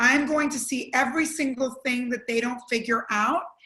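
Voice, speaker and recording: This woman speaks loudly at a moderate pace, her high voice following a fairly even intonation. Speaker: entrepreneur and former TV executive. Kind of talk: panel discussion.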